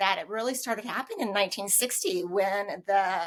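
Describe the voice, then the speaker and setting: A woman with an ordinary speaking voice talks at a moderate pace and medium pitch, keeping her intonation fairly even. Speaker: podcast host. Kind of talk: podcast interview host.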